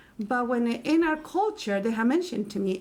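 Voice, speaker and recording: Speaking in a Spanish accent, a woman keeps a moderate pace. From Mexico City, Mexico. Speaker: Spanish teacher. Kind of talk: casual chat. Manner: halting.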